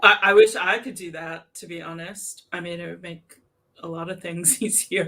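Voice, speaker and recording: A woman with an American accent speaks at a moderate pace in a bright, sharp tone with vocal fry, a fairly low pitch, and ordinary pitch variation. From US, New York City. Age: 40s. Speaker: crochet content creator. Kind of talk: casual chat.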